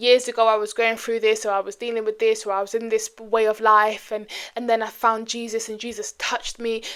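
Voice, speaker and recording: At a very fast pace, a woman with a British accent speaks in a fairly high voice. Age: 20s. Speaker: vlogger. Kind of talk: casual chat.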